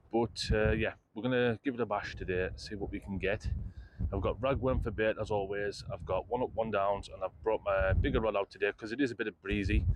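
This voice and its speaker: The pace of this man's speech is fairly quick. He has a British accent. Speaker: fishing vlogger. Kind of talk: casual vlog to camera. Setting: outdoors on a pier. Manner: upbeat, chatty.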